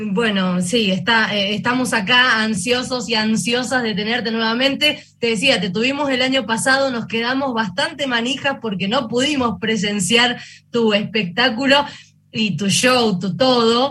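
Amid audible room echo, a woman with a bright, sharp tone speaks at a fairly high pitch and a fairly slow pace, with ordinary pitch variation. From Argentina, Tucumán. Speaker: radio journalist. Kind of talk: interview. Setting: video call.

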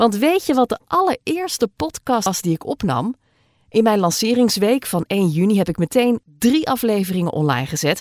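Recorded with a dry, close sound and no echo, a woman talks at a moderate pace with very wide pitch swings. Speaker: podcast host, former radio presenter. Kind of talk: casual solo podcast narration. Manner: animated.

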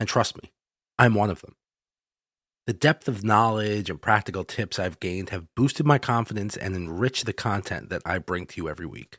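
A man talks in a plain, everyday voice at a fairly low pitch. His intonation is lively and his pace fairly quick. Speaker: horror story narrator. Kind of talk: horror story narration, first-person, read aloud. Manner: brooding, measured, with eerie pauses.

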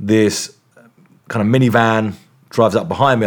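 This man has a fairly low pitch. He talks with an English accent. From England. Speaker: investigative journalist. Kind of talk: interview. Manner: halting.

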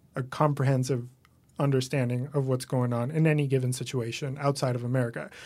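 A man speaks with a Spanish accent. The recording is very clean and the background silent. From Venezuela. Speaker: comedian and writer. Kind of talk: casual interview chat.

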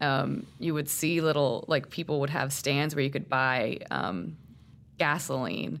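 A woman speaks at a fairly slow pace in a very deep, low voice, with ordinary pitch variation and vocal fry. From Puerto Rico. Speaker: newspaper reporter. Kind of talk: interview.

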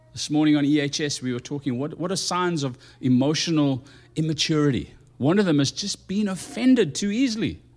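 An ordinary speaking voice from a man, fairly high in pitch, with lively intonation and a fairly quick pace. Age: 50s. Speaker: pastor. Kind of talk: sermon.

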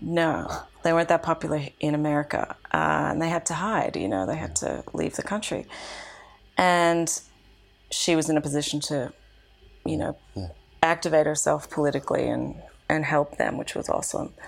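With an Australian accent, a woman talks at a moderate pace, leaving long, frequent pauses. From Australia, Canberra. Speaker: activist. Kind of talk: casual interview conversation. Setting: apartment.

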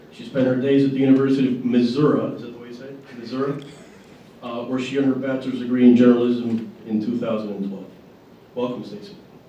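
Over noticeable background noise, a man at medium pitch talks very fast with fairly even intonation and big swings in loudness. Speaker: panel moderator. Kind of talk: moderating a panel at a breakfast event.

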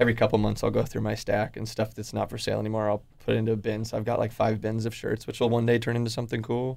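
A man with a West Coast accent at a very fast pace, in a monotone, flat intonation. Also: medium pitch for a man. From Oregon, Portland area. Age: 20s. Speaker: clothing brand founder. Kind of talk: casual interview. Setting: radio studio.

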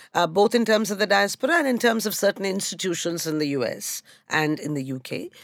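A woman with an Indian accent, very wide pitch swings and a fairly quick pace. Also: medium pitch for a woman. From India, Calcutta. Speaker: historian. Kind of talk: panel discussion.

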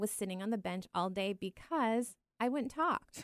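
Speaking in an unremarkable speaking voice at a medium pitch, a woman moves at a fairly slow pace with lively intonation, in a dry, close sound with no echo on a very clean recording with a silent background. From France, moved to US at seven. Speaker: musician. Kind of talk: casual chat.

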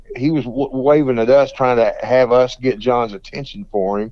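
In a Texan accent, a man at medium pitch speaks at a moderate pace with ordinary pitch variation. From Texas, Fort Worth. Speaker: blues guitarist. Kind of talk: interview.

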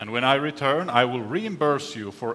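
With noticeable background noise behind him, a man speaks at medium pitch. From Finland and Canada. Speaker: professor. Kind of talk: lecture.

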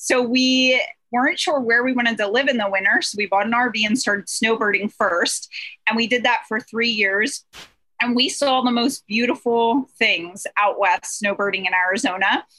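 A woman with an American accent and a fairly high pitch speaks at a moderate pace in a bright, sharp tone, with ordinary pitch variation and very even loudness. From Pennsylvania. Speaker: real estate investor. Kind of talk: interview.

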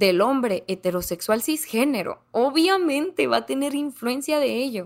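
Lively intonation comes through at a very slow pace on a very clean recording with a silent background. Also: woman. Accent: northern Mexican. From northern Mexico, Ciudad Juárez, Chihuahua. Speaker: comedian. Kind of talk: casual chat.

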